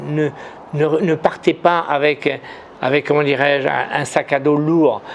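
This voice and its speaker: A fairly high-pitched man at a very slow pace, in a monotone, flat intonation. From Morocco. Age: 70s. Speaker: businessman and writer. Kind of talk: interview. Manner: halting, many repetitions.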